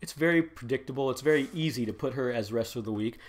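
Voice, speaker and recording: Mumbling at a very fast pace, a man speaks at a medium pitch on a very clean recording with a silent background. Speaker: wrestling podcast host. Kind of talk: solo podcast review.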